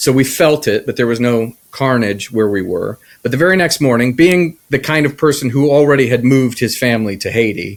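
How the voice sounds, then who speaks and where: With an American accent, a man of medium pitch talks at a fairly quick pace with ordinary pitch variation and hardly any pauses, in an unremarkable speaking voice. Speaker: podcast co-host. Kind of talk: personal testimony in casual chat.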